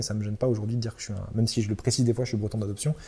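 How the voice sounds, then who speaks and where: Somewhat breathy and dark, mellow in tone, a man's medium-pitched voice comes through a very clean recording with a silent background. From central France (Loiret). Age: 20s. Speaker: startup founder. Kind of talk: interview. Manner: hesitant with fillers and repetitions.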